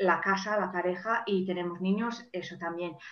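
At a moderate pace and with fairly even intonation, a woman speaks over noticeable background noise. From England, Manchester. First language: English (speaking Spanish). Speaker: life and career coach. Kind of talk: interview. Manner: halting, many repeated words.

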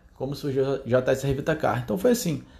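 An animated man with a somewhat breathy, medium-pitched voice is heard in a very clean recording with a silent background. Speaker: car detailing business owner. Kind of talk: monologue podcast. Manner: casual, animated.

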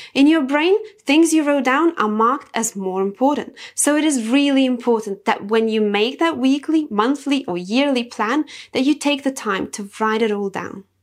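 With a Lithuanian accent, a woman speaks at a moderate pace in a high pitch with lively intonation. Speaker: self-improvement podcaster. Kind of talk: motivational monologue.

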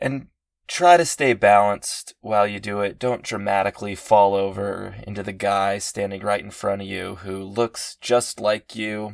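A man with a normal speaking voice talks at a fairly low pitch with fairly even intonation and big swings in loudness, on a very clean recording with a silent background. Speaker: podcast meditation guide. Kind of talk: comedic guided meditation parody. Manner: slow, soothing instructions broken by sudden exasperated outbursts.

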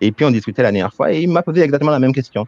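The man's intonation is lively, heard in a dry, close sound with no echo. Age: 40s. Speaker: headhunter. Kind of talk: webinar interview. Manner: hesitant, many fillers.

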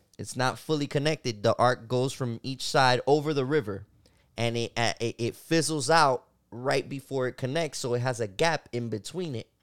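At a moderate pace, a man speaks in a plain, everyday voice with a medium pitch. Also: ordinary pitch variation. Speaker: podcast host. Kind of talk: casual chat.

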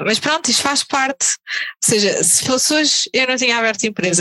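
With lively intonation, a woman talks at a fairly quick pace in a dry, close recording without echo. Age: 30s. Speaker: tattoo artist. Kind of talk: casual chat.

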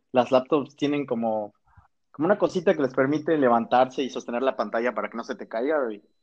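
Lively intonation marks the talk of a man with an unremarkable speaking voice. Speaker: university student. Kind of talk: casual chat.

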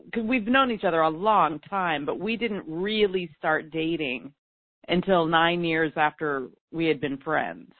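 The pace is fairly slow. The intonation is lively. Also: woman. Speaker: teacher and coach. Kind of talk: interview.

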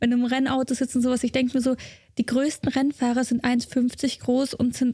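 A dark, mellow tone at a moderate pace, with a dry, close sound and no echo. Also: woman. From Germany, Munich. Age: 20s. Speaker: racing driver. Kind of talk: casual interview chat.

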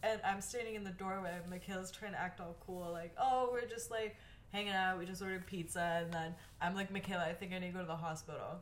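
A woman with an American accent at a very fast pace, fairly even intonation, and audible room echo. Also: medium pitch for a woman. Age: 20s. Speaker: podcast co-host. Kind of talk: casual chat. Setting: at home by a window.

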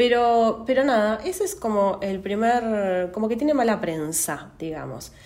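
Speaking very slowly in a Rioplatense accent, a woman uses a fairly high pitch, and audible room echo surrounds her voice. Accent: Argentine Spanish (rioplatense). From Argentina, Santa Rosa, La Pampa. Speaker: astrology podcaster. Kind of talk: solo podcast monologue. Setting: at home. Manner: hesitant, many fillers.

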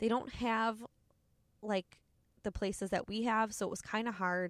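A woman speaks in an animated tone at a fairly slow pace. The sound is dry and close with no echo, recorded very cleanly over a silent background. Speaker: podcast host, cycling studio owner. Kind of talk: casual monologue. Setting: in a car.

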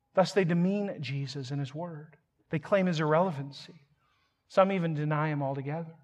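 Here is a man with a plain, everyday voice and a fairly high pitch. He moves at a fairly quick pace with ordinary pitch variation. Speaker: pastor. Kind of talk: sermon. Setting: church.

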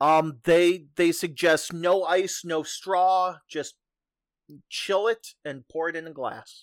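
In a very clean recording with a silent background, the words come out very slowly. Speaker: podcast host. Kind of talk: casual chat. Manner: filler-heavy, relaxed.

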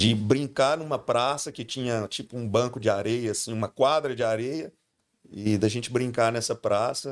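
The pace is moderate, and the pitch varies in an ordinary way. It is an unremarkable speaking voice. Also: man, medium pitch for a man. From Brazil, Goiás (Goiânia). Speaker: pastor. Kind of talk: casual chat.

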